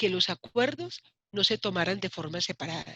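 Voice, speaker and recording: The speaker is a woman with a medium-pitched voice. She talks at a moderate pace. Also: dry, close sound with no echo. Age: 60s. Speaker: human rights activist and politician. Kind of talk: interview.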